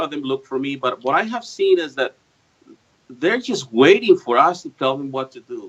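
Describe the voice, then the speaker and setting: This clip features a man's voice. The pitch rises and falls across a very wide range. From Mexico. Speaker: activist guest. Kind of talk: political talk show interview.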